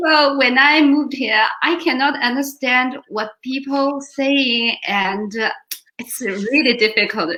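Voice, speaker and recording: Speaking at a very slow pace with a Chinese accent, a woman has a bright, sharp tone. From China. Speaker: volunteer organization board member. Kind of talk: interview. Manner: halting.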